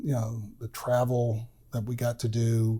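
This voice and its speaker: A man of medium pitch, somewhat breathy with a dark, mellow tone, at a fairly slow pace on a very clean recording with a silent background. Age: 60s. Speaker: retired political journalist and columnist. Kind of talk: casual interview chat. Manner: halting, many fillers.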